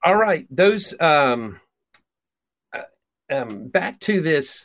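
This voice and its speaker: A man's voice with vocal fry, on a very clean recording with a silent background. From Peru (raised by missionary parents). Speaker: prophetic minister. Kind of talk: casual chat.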